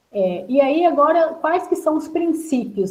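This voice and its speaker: A woman's voice at a fairly slow pace, with very wide pitch swings and audible room echo. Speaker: workshop presenter on food legislation. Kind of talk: online workshop lecture.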